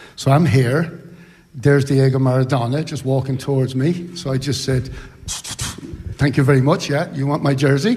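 In an Irish accent, a somewhat breathy man speaks at a moderate pace and a fairly high pitch, with ordinary pitch variation. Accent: Irish (Sligo). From Ireland, Sligo. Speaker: retired footballer. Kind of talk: live interview at book launch. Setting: hotel ballroom with audience.

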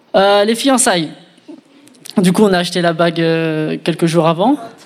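A man speaks at a high pitch while noticeable background noise runs underneath. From France, Reims. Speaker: engaged man sharing his story. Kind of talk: testimony.

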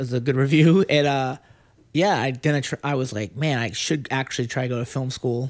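A man with an American accent and a plain, everyday voice speaks at a medium pitch with ordinary pitch variation, in a very clean recording with a silent background. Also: fairly quick pace. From Lynn, Massachusetts (Boston area). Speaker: screenwriter. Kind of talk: casual chat.

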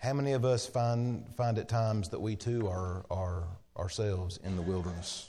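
Audible room echo surrounds a man speaking at a moderate pace in a dark, mellow tone with ordinary pitch variation. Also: fairly low pitch for a man. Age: 40s. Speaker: preacher. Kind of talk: sermon. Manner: halting.

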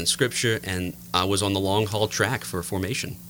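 A moderate pace with an American accent. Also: man. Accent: Cajun-tinged south Louisiana English. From US South, south Louisiana (Cajun country, near Lafayette). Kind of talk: radio interview.

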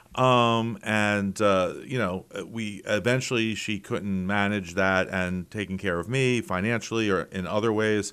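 A man with a normal speaking voice talks at a fairly slow pace and fairly low pitch, keeping his intonation fairly even with hardly any pauses on a very clean recording with a silent background. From Philadelphia, Pennsylvania. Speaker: state senator. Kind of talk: casual interview. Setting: his office.

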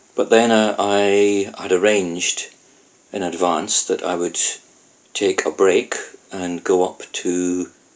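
A man with a Scottish accent speaks at a fairly low pitch. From Scotland. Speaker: Buddhist teacher. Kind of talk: casual interview storytelling.

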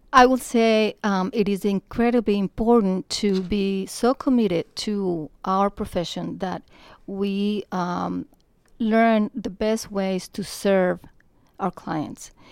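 At a very slow pace, a woman with a Spanish accent speaks at a medium pitch with fairly even intonation, in a dry, close sound with no echo on a very clean recording with a silent background. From Colombia. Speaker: real estate broker. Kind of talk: casual interview.

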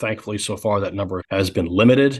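Over a quiet background, a man with an unremarkable speaking voice talks at a moderate pace with ordinary pitch variation. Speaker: defense analyst. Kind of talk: expert interview.

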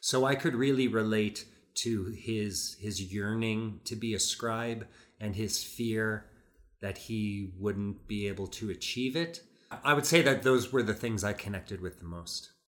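In a normal speaking voice, a man talks at a fairly slow pace with a fairly low pitch and ordinary pitch variation, on a very clean recording with a silent background. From US Midwest, Chicago. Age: 50s. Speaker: actor and audiobook narrator. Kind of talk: casual interview.

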